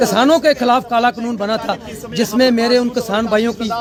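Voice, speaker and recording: A man speaks at an extremely high pitch. Noticeable background noise runs under his voice. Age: 60s. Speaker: transporter, former truck driver. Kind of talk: street interview, protest statement.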